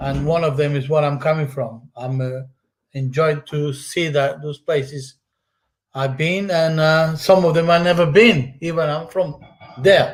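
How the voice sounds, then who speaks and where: Somewhat breathy and fairly slow, a man speaks with a fairly high pitch and fairly even intonation. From Madeira, Portugal. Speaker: channel owner. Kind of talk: casual live stream commentary. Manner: halting.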